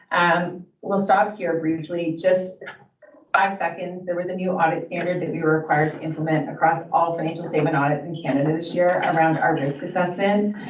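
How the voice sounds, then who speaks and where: A woman speaks at a fairly quick pace in a fairly low pitch with flat, monotone intonation. Room echo is audible and background noise is noticeable. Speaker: auditor. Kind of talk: formal presentation. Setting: council meeting. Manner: fast.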